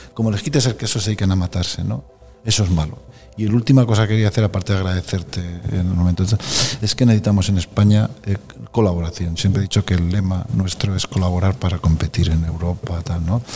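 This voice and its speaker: Talking very fast at a fairly low pitch, a man speaks over music in the background. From Spain, Aragon (Zaragoza province). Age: 60s. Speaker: supercomputing centre director. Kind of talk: interview conversation.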